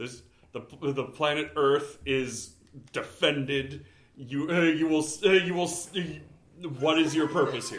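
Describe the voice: Putting on a character voice, a man with a fairly high pitch speaks at a fairly slow pace, with long, frequent pauses.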